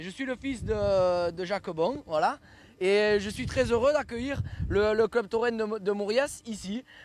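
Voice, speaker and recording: A man's high pitch with ordinary pitch variation and a fairly slow pace. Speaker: bull ranch owner. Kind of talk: guided tour talk to visitors. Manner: hesitant, repeats words.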